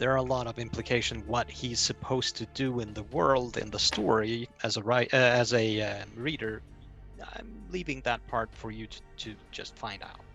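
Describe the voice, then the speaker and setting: Music plays in the background as a man speaks at a moderate pace. His pitch is medium, with ordinary variation. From Iceland. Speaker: fantasy novel writer. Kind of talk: interview answer.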